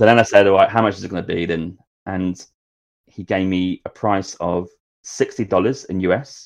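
A man's fairly low voice in a Norfolk accent, with fairly even intonation at a moderate pace against a quiet background. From England, Norwich. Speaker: travel podcaster. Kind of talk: casual chat. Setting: studio.

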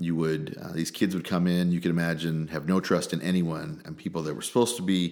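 The speech comes at a very fast pace with fairly even intonation, in a Midwestern American accent. The recording is very clean, with a silent background. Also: man. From central Illinois (small town). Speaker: state senator. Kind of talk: interview.

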